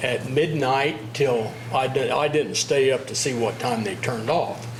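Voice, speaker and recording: A man is heard with audible room echo. Noticeable background noise is present as well. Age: 70s. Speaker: local resident speaking at meeting. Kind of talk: public comment. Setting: city commission meeting.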